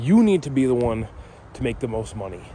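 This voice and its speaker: A man with an American accent talks while noticeable background noise runs underneath. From northern Michigan (Gaylord). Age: 20s. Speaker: vlogger. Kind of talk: casual monologue. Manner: rambling, halting with fillers.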